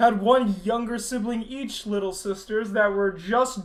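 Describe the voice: Fairly even intonation in plain reading aloud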